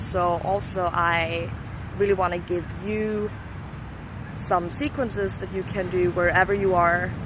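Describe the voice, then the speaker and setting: A non-native accent with lively intonation, plus audible room echo. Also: woman. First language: not English. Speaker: yoga guide and vlogger. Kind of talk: casual vlog introduction. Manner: casual, filler-heavy rambling talk.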